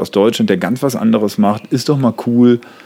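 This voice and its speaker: Against noticeable background noise, a man speaks at a moderate pace in a medium pitch with ordinary pitch variation. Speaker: comedian and songwriter. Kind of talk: casual chat. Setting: outdoors on a terrace.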